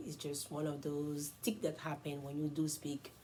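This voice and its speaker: A woman with an Ivorian accent speaks at a fairly quick pace in a very deep, low voice, her tone dark and mellow and somewhat breathy. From Ivory Coast. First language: French. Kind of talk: casual self-introduction vlog.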